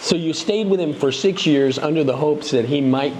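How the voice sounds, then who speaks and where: This man speaks with an American accent and a fairly high pitch, with noticeable noise in the background. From United States. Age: 50s. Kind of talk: casual interview conversation.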